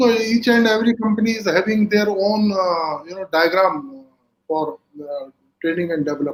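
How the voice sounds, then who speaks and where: The man has a high pitch and lively intonation. His pace is moderate. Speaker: corporate HR executive and speaker. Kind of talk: live webinar interview. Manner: hesitant, many fillers.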